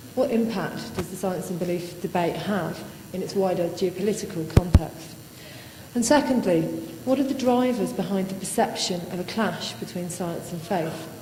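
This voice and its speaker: Soft-spoken and medium in pitch, a woman talks at a moderate pace with ordinary pitch variation amid noticeable background noise and audible room echo. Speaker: academic conference speaker. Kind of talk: conference talk. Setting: lecture hall with audience.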